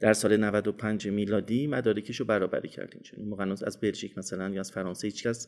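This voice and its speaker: A fairly quick delivery with hardly any pauses and monotone, flat intonation, on a very clean recording with a silent background. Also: man, fairly low pitch for a man. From Iran, Isfahan. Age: 50s. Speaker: dentistry professor. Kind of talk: interview.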